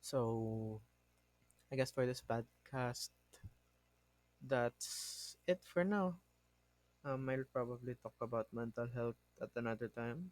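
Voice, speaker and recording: The speaker has a non-native accent and talks at a very slow pace with long, frequent pauses. Pitch varies in an ordinary way, and the sound is dry and close with no echo. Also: man, medium pitch for a man. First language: not English. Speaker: podcast host. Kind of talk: casual monologue. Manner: halting, self-correcting.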